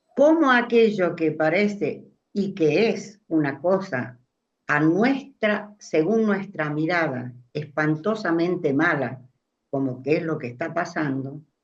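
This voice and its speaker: A woman's fairly low pitch at a very slow pace, with audible room echo. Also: lively intonation. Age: 80s+. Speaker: discussion participant. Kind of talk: group discussion.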